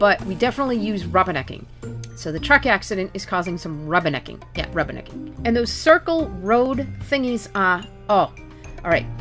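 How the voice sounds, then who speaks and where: Music plays in the background as a woman with a Boston accent talks at a fairly quick pace. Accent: American, Boston area. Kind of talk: casual talk to camera.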